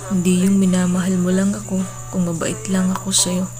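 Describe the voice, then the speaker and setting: Over music in the background, a woman with a fairly low pitch talks at a moderate pace. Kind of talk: spoken word poetry. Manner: emotional, pleading.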